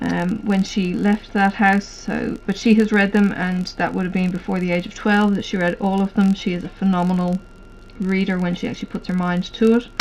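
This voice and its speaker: A woman's flat, monotone voice at a fairly quick pace, over noticeable background noise. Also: medium pitch for a woman. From Ireland, near Dublin. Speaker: hobby vlogger. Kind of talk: casual chat. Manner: hesitant, many fillers.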